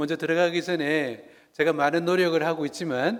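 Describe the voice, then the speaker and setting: A man's fairly high voice at a very slow pace, with a slight Gyeongsang accent. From South Korea, Busan (Gyeongsang). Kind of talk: lecture. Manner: conversational, engaging audience.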